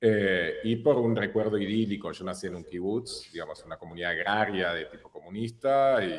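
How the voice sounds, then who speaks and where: A man talks with a Hebrew accent. His pace is moderate. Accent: Hebrew-marked R still noticeable. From Argentina, born in Israel. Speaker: filmmaker and photographer. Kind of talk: interview. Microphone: low return volume, quiet.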